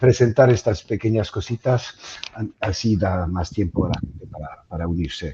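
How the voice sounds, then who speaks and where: A man talks at a fairly low pitch with lively intonation. He speaks with a strong French accent. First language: French (speaking Spanish). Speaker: webinar moderator. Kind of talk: webinar introduction. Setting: online webinar. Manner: halting, many fillers.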